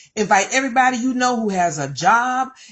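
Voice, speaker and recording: A woman keeps a moderate pace and ordinary pitch variation while noticeable background noise goes on behind her. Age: 60s. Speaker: network marketing presenter. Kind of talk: sales pitch. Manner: animated; repetitive, exhortative.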